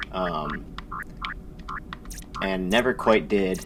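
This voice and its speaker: Noticeable background noise surrounds a voice with ordinary pitch variation. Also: man. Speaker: gaming video creator. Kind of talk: let's play commentary. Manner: loud; excited. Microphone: no mic adjustment settings, may be loud.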